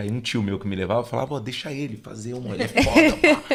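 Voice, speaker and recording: A man is speaking. His pace is very fast. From São Paulo, Brazil. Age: 30s. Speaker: samba musician. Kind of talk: casual chat.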